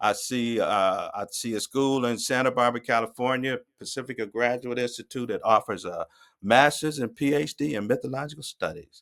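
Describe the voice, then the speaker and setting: A man talks at a fairly quick pace and a medium pitch, his intonation fairly even. The recording is very clean, with a silent background. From Ohio, Akron. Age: 60s. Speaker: nonprofit founder and mythologist. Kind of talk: podcast interview, personal story. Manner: halting, frequent repetitions.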